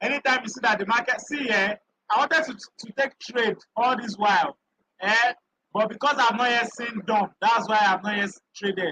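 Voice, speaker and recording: A man's raised, projected voice, extremely high in pitch, in a bright, sharp tone with fairly even intonation and a dry, close sound with no echo. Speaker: crypto trading educator. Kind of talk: live stream tutorial. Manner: loud.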